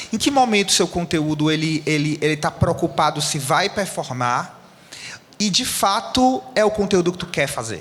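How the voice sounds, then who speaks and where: Pitched high for a man, his voice moves with lively intonation at a moderate pace. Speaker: panel moderator, agency CEO. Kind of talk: panel discussion.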